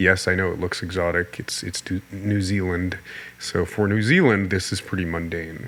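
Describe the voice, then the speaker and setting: Fairly even intonation from a man with a very deep, low pitch, amid noticeable background noise. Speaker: art instructor. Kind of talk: tutorial voiceover. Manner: casual, with fillers and repetitions.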